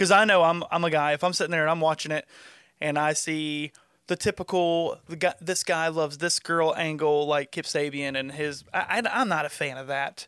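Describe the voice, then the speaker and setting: A man with a Southern US accent speaks at a moderate pace in a fairly high voice with a bright, sharp tone and fairly even intonation. The recording is very clean and silent in the background, with a dry, close sound and no echo. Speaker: wrestling podcast co-host and cameraman. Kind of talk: casual chat.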